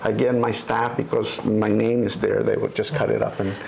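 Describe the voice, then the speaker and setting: Audible room echo and noticeable background noise surround this man's speech. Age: 60s. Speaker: retired politician. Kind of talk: interview. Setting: at home. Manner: halting.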